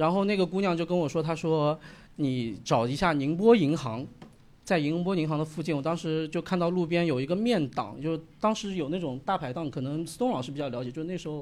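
A man with an ordinary speaking voice, fairly high pitch and ordinary pitch variation at a fairly quick pace. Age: 30s. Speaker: stand-up comedian. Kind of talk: stand-up set. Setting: stage with audience.

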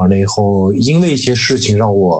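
Here a man with a fairly low pitch and an unremarkable speaking voice talks at a moderate pace. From Shanxi, China. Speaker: tattoo artist. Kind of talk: casual chat.

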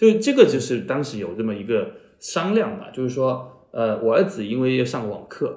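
Speaking with a Chaozhou accent, a man has a dark, mellow tone at medium pitch, very wide pitch swings, big swings in loudness and a moderate pace, with audible room echo. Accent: Chaozhou-accented Mandarin. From Chaozhou, Guangdong. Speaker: media founder and podcaster. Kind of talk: casual interview conversation. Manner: hesitant with frequent fillers.

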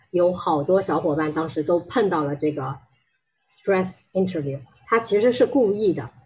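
A woman talks at a moderate pace. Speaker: HR technology consultant. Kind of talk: presentation talk. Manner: halting, many fillers.

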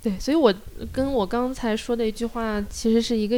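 The recording is very clean, with a silent background. A woman speaks at a fairly high pitch in a dark, mellow tone. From Shanghai, China. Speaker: community activist and piano teacher. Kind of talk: casual interview chat. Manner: halting, many fillers.

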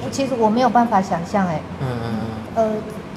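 A woman speaks at a moderate pace in a Taiwanese accent. There is audible room echo and noticeable background noise. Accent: Taiwanese Mandarin. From central Taiwan, rural. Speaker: blind trainer and traveler. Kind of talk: casual interview chat.

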